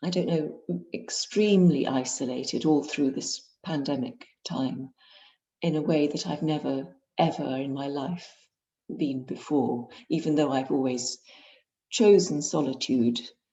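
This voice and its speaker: With an English accent, a woman speaks fairly slowly in a very deep, low voice, with ordinary pitch variation and long, frequent pauses. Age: 60s. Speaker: painter and author. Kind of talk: author interview. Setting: video call. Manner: halting.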